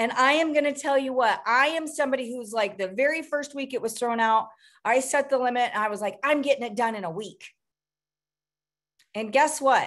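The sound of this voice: A woman speaks at a moderate pace with lively intonation, a fairly high pitch and a fairly bright tone.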